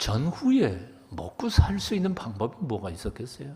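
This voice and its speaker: A man speaks at a very slow pace. His voice is somewhat breathy with a dark, mellow tone. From South Korea, Chuncheon, Gangwon. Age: 70s. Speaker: pastor. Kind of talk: sermon.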